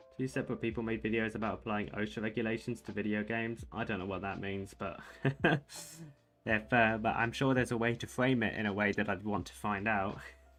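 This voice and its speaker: Speaking at a very fast pace in a British accent, a man with a fairly low pitch keeps his intonation fairly even. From Britain. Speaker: chess streamer. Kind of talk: casual live-stream chat. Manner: casual, conversational.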